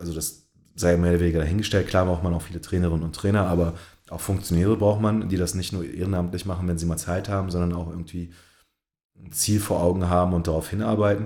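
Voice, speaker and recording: Very fast and monotone, a man speaks in a very deep, low voice with a dark, mellow tone and flat intonation. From Berlin, Germany. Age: 30s. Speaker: basketball coach. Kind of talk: interview. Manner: hesitant, many fillers.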